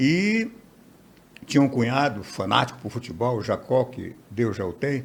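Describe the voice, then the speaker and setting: A man's voice with vocal fry. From interior of Amazonas, Brazil. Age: 70s. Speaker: TV and radio journalist. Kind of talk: interview conversation.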